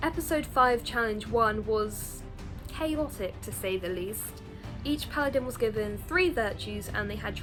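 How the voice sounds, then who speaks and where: Music is playing in the background. Over it, a woman talks. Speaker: game show reviewer. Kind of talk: casual review talk to camera.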